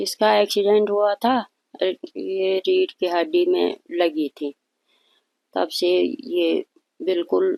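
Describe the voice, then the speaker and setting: The sound is dry and close with no echo. A woman speaks with long, frequent pauses. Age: 60s. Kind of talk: interview. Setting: at her home.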